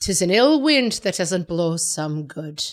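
In a put-on character voice with an Irish accent, a woman of medium pitch speaks at a fairly slow pace with very wide pitch swings. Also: very clean recording, silent background.

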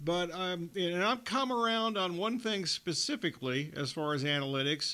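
The speaker is a man using a raised, projected voice. His tone comes across bright and sharp. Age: 60s. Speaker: radio sports host. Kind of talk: casual sports talk radio.

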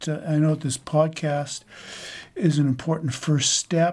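The voice is somewhat breathy, captured in a very clean recording with a silent background. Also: man. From rural Saskatchewan, Canada. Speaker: book editor. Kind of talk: interview answers.

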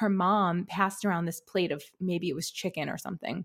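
A woman with a New York accent, fairly quick and fairly even in intonation, on a very clean recording with a silent background. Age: 30s. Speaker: author and life coach. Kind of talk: casual interview.

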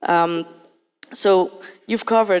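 A woman with a fairly low pitch speaks in a French accent. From France. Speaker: accelerator program director. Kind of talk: panel discussion.

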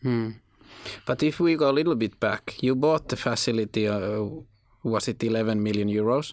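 Speaking with a Finnish accent, a man keeps a moderate pace. His pitch is medium, with ordinary variation. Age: young. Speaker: podcast host. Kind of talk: interview. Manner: halting.

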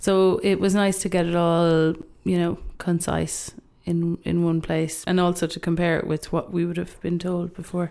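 In an Irish accent, the speaker has a dark, mellow tone and a monotone, flat intonation. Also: woman, fairly low pitch for a woman, moderate pace. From Ireland. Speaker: youth worker. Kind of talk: casual chat. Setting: studio.

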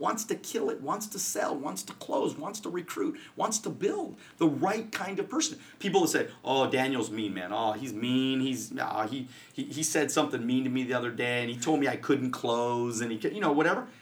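An animated man at a moderate pace, fairly high in pitch, with very wide pitch swings. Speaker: financial services coach and podcaster. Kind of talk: casual interview. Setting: studio.

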